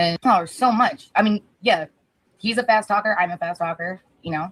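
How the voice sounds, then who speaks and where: A plain, everyday voice at a moderate pace, with a dry, close sound and no echo. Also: woman, medium pitch for a woman, ordinary pitch variation. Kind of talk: casual chat.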